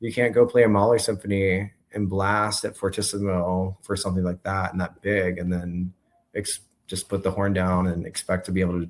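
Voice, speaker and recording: With an American accent, a man with a very deep, low voice speaks in a monotone, flat way at a fairly quick pace, on a very clean recording with a silent background. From US South, South Carolina. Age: 30s. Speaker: French horn player. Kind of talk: interview conversation. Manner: halting.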